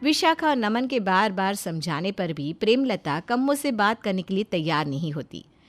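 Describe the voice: Over faint background music, a woman speaks at a moderate pace in a medium pitch with big pitch swings.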